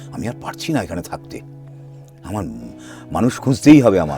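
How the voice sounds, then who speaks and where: Booming over music in the background, a man's voice swings very widely in pitch. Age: 70s. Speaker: voice actor. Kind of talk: interview answer.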